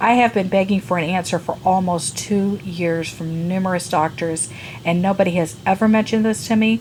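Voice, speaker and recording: With ordinary pitch variation and a medium pitch, a woman speaks fairly quickly amid noticeable background noise. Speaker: beauty and lifestyle vlogger. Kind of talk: personal health vlog. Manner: halting, with fillers.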